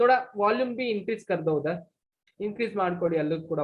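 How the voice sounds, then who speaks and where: Very wide pitch swings from a woman talking at a moderate pace. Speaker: physics teacher. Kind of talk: online lecture. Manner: loud.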